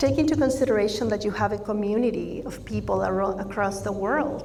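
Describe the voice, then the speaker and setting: Fairly quick speech from a woman at a medium pitch, ordinary pitch variation throughout, amid audible room echo and noticeable background noise. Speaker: speaker/coach. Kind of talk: conference talk. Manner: warm, light-hearted.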